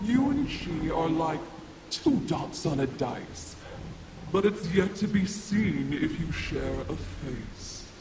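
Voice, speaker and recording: Using a put-on character voice, a man speaks very slowly at a high pitch, with slight echo and clear background noise. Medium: video game. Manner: mysterious, knowing.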